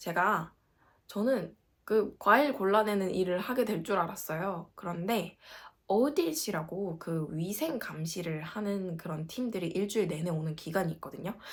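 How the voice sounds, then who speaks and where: A woman at medium pitch, moderate pace, lively intonation and an animated tone. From South Korea, Gangwon Province. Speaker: working holiday vlogger. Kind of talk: casual vlog.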